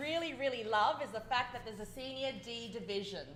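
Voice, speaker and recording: A woman speaks at a fairly quick pace with an Australian accent. Noticeable background noise runs underneath. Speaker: dragon boat coach. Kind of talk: interview.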